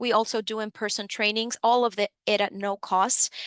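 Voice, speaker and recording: The sound is dry and close, with no echo. A woman speaks at a fairly high pitch with a bright, sharp tone and fairly even intonation. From Dominican Republic, then New York City. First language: Spanish. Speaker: financial education program supervisor. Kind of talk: webinar presentation. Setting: online webinar.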